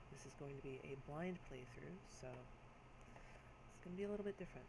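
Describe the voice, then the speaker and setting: Quiet and fairly high-pitched, a man talks at a moderate pace with ordinary pitch variation. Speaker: let's play gamer. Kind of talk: casual talk to camera.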